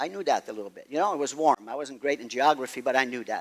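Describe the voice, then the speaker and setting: A man with a Quebec accent. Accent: Québécois French-accented English. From Quebec, Montreal. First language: French. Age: 70s. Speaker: golf pro. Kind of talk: talk. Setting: stage with audience.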